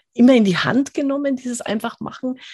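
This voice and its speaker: Recorded dry and close with no echo against a quiet background, a woman speaks in a somewhat breathy voice. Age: 50s. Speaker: podcast host reviewing business books. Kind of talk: casual interview.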